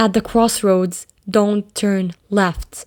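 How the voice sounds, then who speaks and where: With a medium pitch and fairly even intonation, a woman talks at a very slow pace. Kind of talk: horror story narration.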